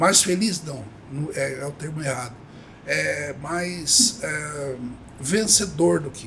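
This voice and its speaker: Over noticeable background noise and audible room echo, a man speaks at a very slow pace with a fairly high pitch and lively intonation. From Brazil, São Paulo state interior (Avaré). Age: 70s. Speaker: company cofounder, retired banker. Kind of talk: podcast interview. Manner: halting, many fillers.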